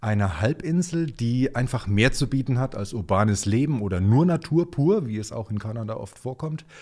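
On a very clean recording with a silent background, the voice has a dark, mellow tone, sounds somewhat breathy, and carries lively intonation. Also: man. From Germany, Nuremberg (Franconia). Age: 50s. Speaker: Nova Scotia enthusiast, colleague of host. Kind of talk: casual interview.

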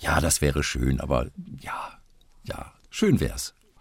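A man speaks with vocal fry. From Westphalia, Germany. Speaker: voice actor. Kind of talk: interview. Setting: remote call.

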